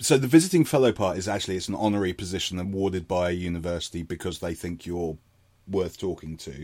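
A man with a southern English accent, very deep and low in pitch, at a very fast pace, with ordinary pitch variation. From London, England. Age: 40s. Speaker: digital forensics consultant. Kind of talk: casual interview. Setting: video call. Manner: halting.

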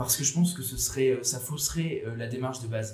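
Music plays in the background as a man speaks fairly quickly at a medium pitch. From France, Bordeaux. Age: 20s. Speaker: student and association founder. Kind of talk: interview. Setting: café.

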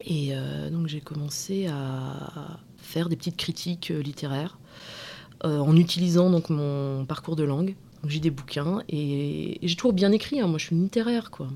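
With a dark, mellow tone and a very deep, low pitch, a woman speaks at a fairly slow pace with ordinary pitch variation. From provincial France, small town. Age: 30s. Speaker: podcast interviewee. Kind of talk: personal testimony interview. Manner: hesitant, many fillers and repetitions.

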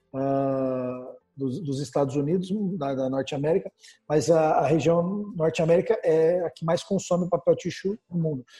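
A man with a Brazilian accent speaks at a moderate pace in a fairly high pitch. His pitch varies in an ordinary way. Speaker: business portal founder and interview host. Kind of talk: casual business interview.

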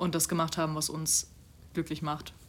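The recording is very clean with a silent background, and a woman speaks at a fairly quick pace. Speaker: podcast co-host, student. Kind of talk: casual chat. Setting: home recording in a flat. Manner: gets louder when worked up.

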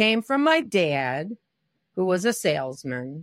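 In a very clean recording with a silent background and a dry, close sound with no echo, a woman speaks with an American accent. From US Midwest, Detroit. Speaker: director and choreographer. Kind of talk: interview.

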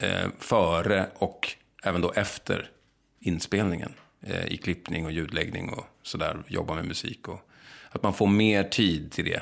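At a fairly slow pace, a man speaks in a very deep, low pitch with ordinary pitch variation. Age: 40s. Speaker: film director and actor. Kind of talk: casual interview chat. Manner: halting, many false starts.

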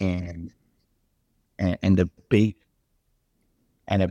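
A man with a South African accent, very deep and low in pitch, dark and mellow in tone, monotone and flat, at a fairly slow pace, with a dry, close sound and no echo. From South Africa, Durban. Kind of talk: interview. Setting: video call.

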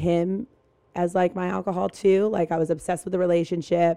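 Here a woman speaks with an American accent. Her voice is medium in pitch with a dark, mellow tone. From US South, North Carolina. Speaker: fitness trainer. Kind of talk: casual interview chat.

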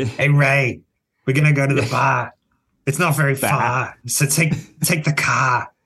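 Doing a raspy put-on character voice in a Boston accent, a man talks at a fairly slow pace and a fairly high pitch.

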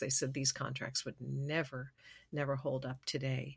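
A woman's somewhat breathy voice at a very deep, low pitch and a moderate pace, on a very clean recording with a silent background. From Los Angeles and Geneva, Switzerland. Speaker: singer-songwriter. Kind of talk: interview. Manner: hesitant, many fillers.

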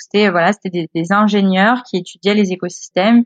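Fairly even intonation from a woman at medium pitch and a moderate pace. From northern France, Le Havre (Normandy). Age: 20s. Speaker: guest telling her life story. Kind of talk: casual interview storytelling. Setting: remote call. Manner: hesitant, many repeated words and fillers.

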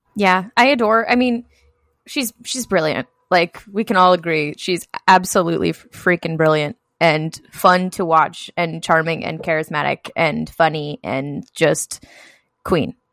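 A woman at a fairly slow pace, a plain, everyday voice with ordinary pitch variation, and a dry, close sound with no echo. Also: fairly low pitch for a woman. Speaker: podcast co-host. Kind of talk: casual chat podcast.

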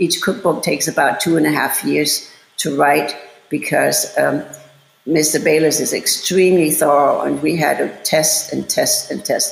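A woman speaks with a German accent at a fairly slow pace. Audible room echo surrounds her voice. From Germany, Bavaria. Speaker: chef and cooking instructor. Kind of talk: interview.

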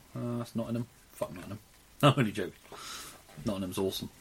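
A man with a British accent at a medium pitch, talking at a very fast pace over noticeable background noise. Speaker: podcast co-host. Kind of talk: casual banter podcast chat.

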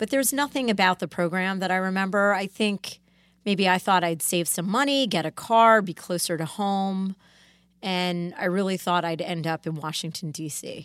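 A woman's plain, everyday voice at medium pitch, moderate pace and ordinary pitch variation, on a very clean recording with a silent background. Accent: American. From Connecticut, US. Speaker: lawyer, law firm founding partner. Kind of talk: casual interview. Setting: studio.

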